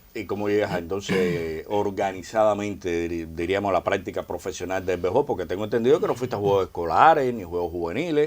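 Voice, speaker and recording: This man has an unremarkable speaking voice, fairly low in pitch with ordinary variation. He talks at a fairly quick pace with hardly any pauses, in a very clean recording with a silent background. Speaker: sports show host. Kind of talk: interview.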